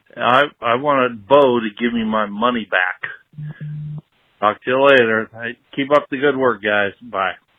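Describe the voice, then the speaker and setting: A man speaks with a Midwestern accent at a fairly slow pace. His intonation stays fairly even. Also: medium pitch for a man. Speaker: caller leaving voicemail. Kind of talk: voicemail message. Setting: phone voicemail.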